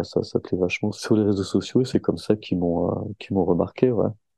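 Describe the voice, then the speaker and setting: A man talks at a fairly quick pace in a fairly low, dark, mellow voice with a dry, close sound and no echo. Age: 30s. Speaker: skateboarder. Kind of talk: casual chat.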